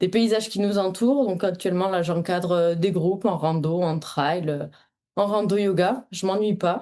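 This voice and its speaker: Over a quiet background, a woman speaks with a dark, mellow tone and very even loudness. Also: medium pitch for a woman, ordinary pitch variation, moderate pace. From France, Aveyron. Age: 20s. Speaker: trail runner, mountain guide and yoga teacher. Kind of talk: interview.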